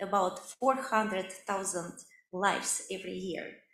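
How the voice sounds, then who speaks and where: A woman's moderately paced speech carries audible echo from the room. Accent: Russian. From Siberia, Russia. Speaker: medical researcher. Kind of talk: lecture. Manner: halting, many fillers.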